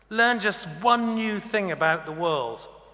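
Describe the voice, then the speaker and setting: A man's high, raised and projected voice with lively intonation, with audible room echo. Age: 60s. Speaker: honorary graduate speaker. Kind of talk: graduation address. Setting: ceremony hall with audience. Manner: formal.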